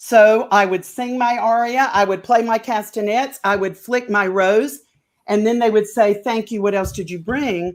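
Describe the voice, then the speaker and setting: A woman with a Southern US accent speaks at a moderate pace in an animated tone and a fairly high pitch. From North Carolina. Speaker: opera singer. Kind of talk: interview.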